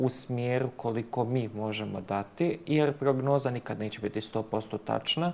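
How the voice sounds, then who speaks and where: A man speaks at a moderate pace. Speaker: guest. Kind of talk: interview answer. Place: studio. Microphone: lapel.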